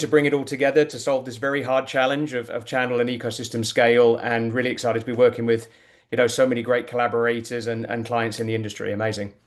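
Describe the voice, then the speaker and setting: At a very fast pace, a man with a British accent and medium pitch delivers his words in a monotone, flat intonation. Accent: British-sounding. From UK-born, raised abroad. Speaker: tech executive, panelist. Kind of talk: webinar panel discussion. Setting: online webinar.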